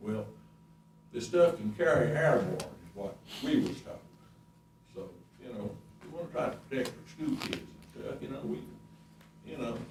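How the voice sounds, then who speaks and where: A man with an Appalachian accent speaks at a moderate pace, with long, frequent pauses and big swings in loudness. Audible room echo and noticeable background noise fill the recording. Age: 70s. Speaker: resident speaking at public hearing. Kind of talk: public comment at county meeting. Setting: county board meeting room with audience.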